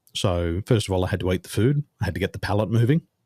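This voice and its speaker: A man speaks with a very deep, low pitch and a dark, mellow tone, the sound dry and close on a very clean recording with a silent background. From Australia. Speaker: business coach. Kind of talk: interview conversation. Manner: fluent, few filler words.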